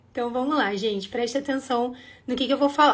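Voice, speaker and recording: A woman with a high-pitched voice. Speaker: dance teacher and school owner hosting a livestream. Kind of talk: livestream sales pitch. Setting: live stream. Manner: animated.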